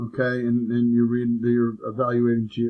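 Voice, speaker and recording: A man with a medium pitch. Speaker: math teacher. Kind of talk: tutorial. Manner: fast; halting.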